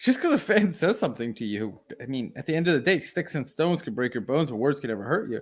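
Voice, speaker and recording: Over a very clean recording with a silent background, a man with a non-native accent speaks very fast at a fairly high pitch, his tone animated and his pitch swinging very widely. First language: not English. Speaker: sports podcast co-host. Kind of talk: casual chat.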